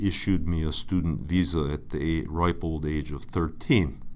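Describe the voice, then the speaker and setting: Audible room echo surrounds a man speaking at a moderate pace with a very deep, low pitch and fairly even intonation. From Buffalo, New York, US. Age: 50s. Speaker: alumnus, sinology patron. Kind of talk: interview storytelling. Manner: halting, many fillers.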